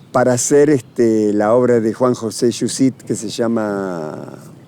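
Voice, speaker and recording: A man talks against noticeable background noise. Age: 80s+. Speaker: actor. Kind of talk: interview. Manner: halting.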